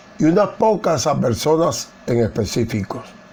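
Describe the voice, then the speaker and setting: The speech moves at a very slow pace with very wide pitch swings. There is audible room echo and noticeable background noise. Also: man. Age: 80s+. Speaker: Bible teacher. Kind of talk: Bible study lecture. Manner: formal.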